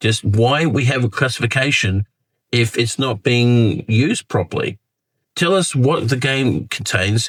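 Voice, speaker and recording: A man with an Australian accent, medium in pitch. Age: 50s. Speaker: gaming commentator. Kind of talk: casual talk to camera.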